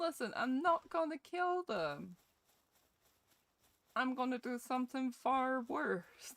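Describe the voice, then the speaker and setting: Speaking very slowly in a Scottish accent, a woman with a high pitch and lively intonation leaves long, frequent pauses in a dry, close sound with no echo. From Scotland. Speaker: gaming streamer. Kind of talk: live gameplay stream chat. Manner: animated.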